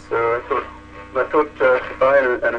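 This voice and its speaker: Noticeable noise runs in the background. The words come at a fairly quick pace. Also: man. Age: 60s. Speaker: AI researcher. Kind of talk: interview.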